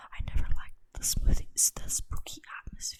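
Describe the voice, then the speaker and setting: A whispered voice moving at a fairly slow pace. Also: woman. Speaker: ASMR creator reading Reddit scary stories. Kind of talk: first-person horror story narration. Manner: whispered, slow, deliberate.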